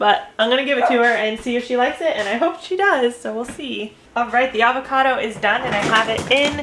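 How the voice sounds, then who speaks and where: A woman's high voice at a very fast pace, hardly any pauses, noticeable background noise throughout. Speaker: parent vlogger. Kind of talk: casual vlog chat. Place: kitchen. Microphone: phone near.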